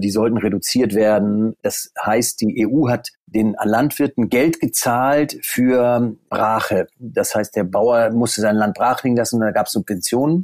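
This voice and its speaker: A man at a very slow pace with hardly any pauses, very even loudness and ordinary pitch variation, on a very clean recording with a silent background. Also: medium pitch for a man. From northern Germany, near Stade (Lower Saxony). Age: 40s. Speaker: golf course managing director. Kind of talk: interview. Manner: hesitant, many fillers.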